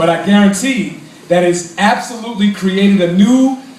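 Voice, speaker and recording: A man is heard over noticeable background noise, with audible echo in the room. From Brooklyn, New York City. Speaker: congressional candidate, activist. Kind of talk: political speech to a crowd. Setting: cafe event with audience. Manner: animated.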